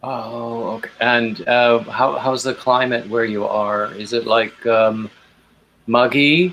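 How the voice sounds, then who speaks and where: At a very slow pace, a man talks with a medium pitch and fairly even intonation. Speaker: live streamer. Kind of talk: casual chat. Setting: video call. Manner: soft-spoken.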